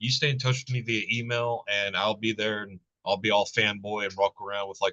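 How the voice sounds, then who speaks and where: Fairly even intonation carries this fairly quick speech in a Southern US accent. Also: man. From US South, Alabama. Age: 40s. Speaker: metal YouTube channel host. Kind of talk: interview. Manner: casual, profane.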